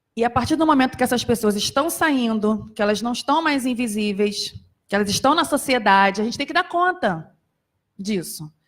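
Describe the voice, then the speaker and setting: A woman with an unremarkable speaking voice talks at a moderate pace and a fairly high pitch, her intonation lively. The recording is very clean, with a silent background. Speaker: psychologist and accessibility committee member. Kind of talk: panel talk. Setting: auditorium with audience.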